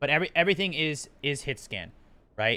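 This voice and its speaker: With lively intonation and a bright, sharp tone, a man speaks on a very clean recording with a silent background. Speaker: game developer streamer. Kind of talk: live stream commentary. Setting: live stream. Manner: fast.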